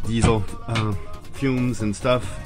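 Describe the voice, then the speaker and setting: With clear music behind him, a man talks, his pitch varying in an ordinary way. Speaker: sailor vlogger. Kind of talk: casual vlog chat. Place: boat. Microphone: phone near.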